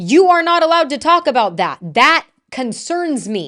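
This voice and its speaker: Loud and animated, a woman with an American accent speaks at a high pitch with very wide pitch swings and a fairly slow pace over a quiet background. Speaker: political commentary streamer. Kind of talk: live stream commentary. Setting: live stream.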